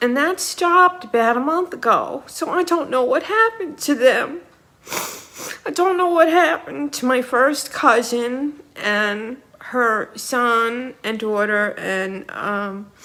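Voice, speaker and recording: Projecting her raised voice at a high pitch, a woman speaks very slowly with very wide pitch swings over noticeable background noise. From New York City (Queens, Ozone Park). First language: Ukrainian. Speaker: vlogger. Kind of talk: personal monologue. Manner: halting.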